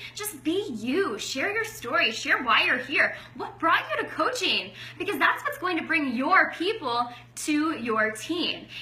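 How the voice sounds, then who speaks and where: A woman's raised, projected voice, extremely high with very wide pitch swings, at a fairly slow pace, with audible room echo and noticeable background noise. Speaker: network marketing coach. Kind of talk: training talk. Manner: loud.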